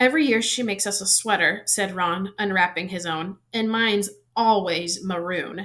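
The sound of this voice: Reading done in an unforced voice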